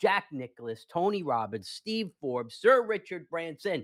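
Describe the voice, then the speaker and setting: On a very clean recording with a silent background and a dry, close sound with no echo, a man with a fairly high pitch speaks at a moderate pace in an animated tone with very wide pitch swings. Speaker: podcast host. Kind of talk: casual chat.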